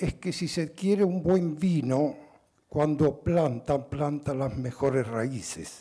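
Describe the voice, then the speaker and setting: Somewhat breathy and dark, mellow in tone, a man speaks at a very slow pace and a fairly high pitch with ordinary pitch variation against a quiet background. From Italy. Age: 80s+. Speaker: businessman, award recipient. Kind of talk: acceptance speech. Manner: halting. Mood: calm, earnest, reminiscent. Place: hall. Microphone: podium.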